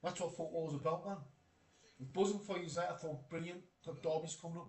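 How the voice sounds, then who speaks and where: This man speaks very fast with a Geordie accent. Room echo is audible around his voice. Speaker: football streamer. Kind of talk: live stream chat reading comments. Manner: casual, animated.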